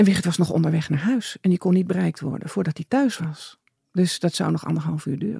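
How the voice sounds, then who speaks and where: Speaking at a fairly quick pace, a woman has vocal fry and a dark, mellow tone in a dry, close sound with no echo. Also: fairly low pitch for a woman, ordinary pitch variation. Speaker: bereaved mother. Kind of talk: interview.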